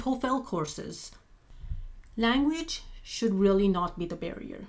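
A woman at a medium pitch with a non-native accent, lively intonation and a moderate pace. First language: not English. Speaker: postdoctoral researcher in immunology. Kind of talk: interview.

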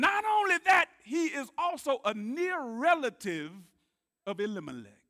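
A man in a Southern US accent uses a raised, projected voice at an extremely high pitch, with a bright, sharp, animated tone, very wide pitch swings and a moderate pace, in a dry, close sound with no echo. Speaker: preacher. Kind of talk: sermon. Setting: church. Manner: call-and-response.

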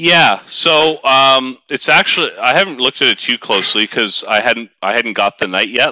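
With a Canadian accent, a man of medium pitch speaks in a bright, sharp tone with lively intonation and hardly any pauses, the sound dry and close with no echo. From Canada. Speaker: wargaming hobbyist. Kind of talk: casual chat.

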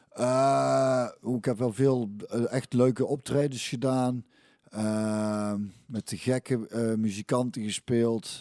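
Very slow and fairly even in intonation, a man's dark, mellow tone comes through with a dry, close sound and no echo. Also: medium pitch for a man. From Belgian-Dutch border area, North Brabant region. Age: 40s. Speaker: former footballer and musician. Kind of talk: casual interview.

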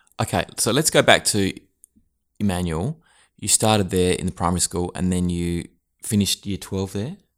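A man with an Australian accent talks at a moderate pace, with ordinary pitch variation and long, frequent pauses. The recording is very clean, with a silent background. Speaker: accounting podcast host. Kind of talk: casual interview. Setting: quiet office room. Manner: warm, encouraging.

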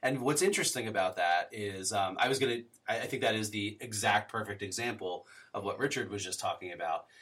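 A man with a normal speaking voice, fairly low in pitch, talks at a fairly quick pace with ordinary pitch variation. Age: 30s. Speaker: podcast host. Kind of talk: casual interview. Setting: call.

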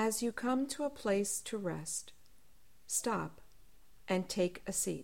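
Very slowly, with long, frequent pauses, a woman speaks at a medium pitch in a gentle, soothing tone, her intonation lively and touched with vocal fry. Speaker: spiritual director leading prayer. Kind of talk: guided meditation, calm spoken prayer. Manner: slow, soft-spoken, soothing with long pauses; gentle, unhurried, reverent.

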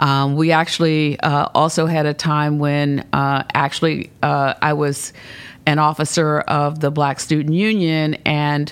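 A woman with an American accent speaks at a fairly slow pace in a very deep, low voice, her intonation fairly even and her loudness very even. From Baltimore and Philadelphia, US. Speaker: nonprofit executive. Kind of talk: interview. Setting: office turned into studio.

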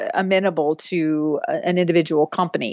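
A woman with an American accent and an ordinary speaking voice talks at a moderate pace and fairly low pitch with ordinary pitch variation against a quiet background. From West Texas. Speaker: author and women's rights activist. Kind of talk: interview.

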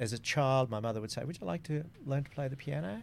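In an Australian accent, a man speaks with ordinary pitch variation. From Australia, small country town. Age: 60s. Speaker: former radio executive and community board chair. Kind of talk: casual interview. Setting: radio studio.

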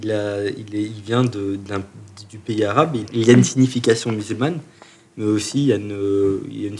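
A man speaks at a fairly quick pace in a fairly low voice, his intonation fairly even but his loudness swinging widely. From France, Chalon-sur-Saône (Burgundy). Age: 30s. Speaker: musician. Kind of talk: interview. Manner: halting, many repetitions.

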